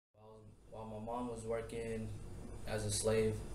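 A man speaks at a fairly slow pace. Noticeable background noise runs underneath. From Tacoma, Washington. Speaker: child of refugees telling his story. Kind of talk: interview answer. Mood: serious, reflective. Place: classroom. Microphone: camera far.

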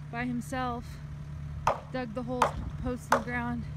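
Loud noise fills the background, while the sound itself is dry, without any echo. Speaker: vlogger visiting family. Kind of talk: casual vlog narration. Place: open country. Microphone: phone near.

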